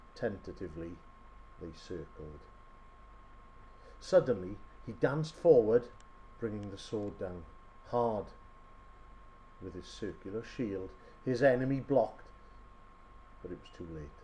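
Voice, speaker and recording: A man's fairly low voice at a fairly slow pace, with lively intonation, big swings in loudness and long, frequent pauses. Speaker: storyteller. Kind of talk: short story reading.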